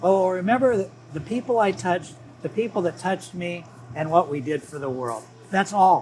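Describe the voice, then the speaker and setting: A man with an American accent talks at a fairly quick pace, his high pitch carrying lively intonation. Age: 70s. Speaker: retired business executive. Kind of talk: casual chat.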